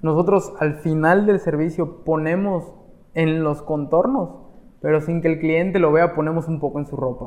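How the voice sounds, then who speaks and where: This man has an unremarkable speaking voice with a fairly high pitch. He talks at a moderate pace with fairly even intonation. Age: 20s. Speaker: barber. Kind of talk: interview.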